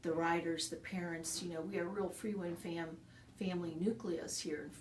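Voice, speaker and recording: Speaking at a moderate pace and a fairly low pitch, a woman is heard amid noticeable background noise and audible room echo. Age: 60s. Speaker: horse farm owner and riding trainer. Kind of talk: interview.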